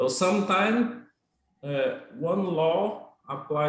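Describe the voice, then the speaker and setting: Here a man speaks with a Portuguese accent. His intonation is lively. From Brazil, Goiás. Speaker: Brazilian immigrant interviewee. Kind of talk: casual interview in English class livestream. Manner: hesitant with fillers and repetitions.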